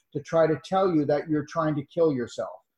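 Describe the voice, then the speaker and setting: This man has an ordinary speaking voice, set fairly high, and his pitch varies in an ordinary way. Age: 60s. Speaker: natural medicine doctor. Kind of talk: interview.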